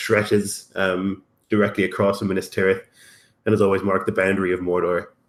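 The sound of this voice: Over a quiet background, the reading voice sounds unforced.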